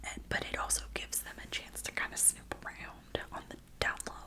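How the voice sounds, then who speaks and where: Someone whispers in a calm tone at a moderate pace. Noticeable background noise can be heard. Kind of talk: ASMR book talk. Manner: whispered; soft-spoken, calm.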